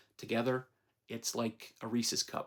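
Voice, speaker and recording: A man speaks at a medium pitch with vocal fry in his voice. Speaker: movie reviewer. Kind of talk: casual movie review monologue.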